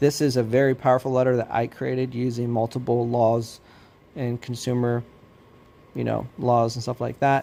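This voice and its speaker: A man speaks at a moderate pace in a dark, mellow tone, his pitch sitting in the middle range. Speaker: credit repair specialist. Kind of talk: tutorial. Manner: animated.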